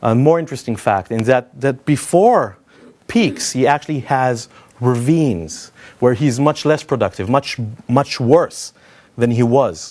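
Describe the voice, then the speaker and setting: Lively intonation marks this man's speech, delivered at a moderate pace. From Israel. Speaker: software consultant and conference speaker. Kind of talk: conference talk. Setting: stage with audience. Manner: conversational, with filler hesitations.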